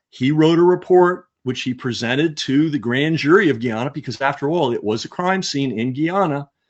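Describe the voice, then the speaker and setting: Here is a normal speaking voice from a man, pitched fairly high. He keeps a moderate pace with ordinary pitch variation. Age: 60s. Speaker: author and history guest. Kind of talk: interview.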